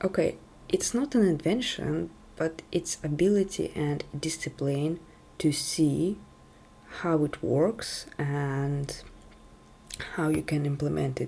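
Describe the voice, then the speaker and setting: A woman's very slow delivery, broken by long, frequent pauses. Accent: non-native. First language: not English. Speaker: tech video creator. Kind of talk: casual talk to camera. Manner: halting.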